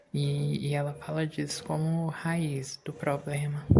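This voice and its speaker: Speech comes at a very slow pace with noticeable background noise. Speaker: gaming youtuber. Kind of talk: relaxed gameplay commentary for sleep.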